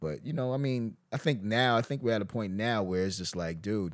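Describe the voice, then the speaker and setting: On a very clean recording with a silent background, a man with an ordinary speaking voice talks at a moderate pace and medium pitch with lively intonation. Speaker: comedian. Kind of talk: casual chat.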